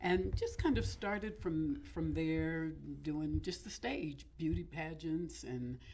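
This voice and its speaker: A woman with an American accent speaking at a very slow pace, with audible room echo. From California. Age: 60s. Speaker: actress and voiceover artist. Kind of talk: interview.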